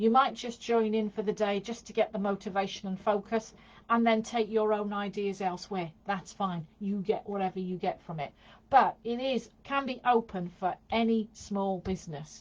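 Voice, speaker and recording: Here is a woman with an unremarkable speaking voice and medium pitch. She talks at a moderate pace with ordinary pitch variation. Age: 60s. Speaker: small business coach. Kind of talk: casual live stream talk.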